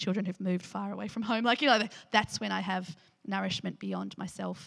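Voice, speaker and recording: A woman talks with an Australian accent. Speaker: pastor leading a church discussion. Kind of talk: sermon with group discussion. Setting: church gathering. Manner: animated, frequent laughter.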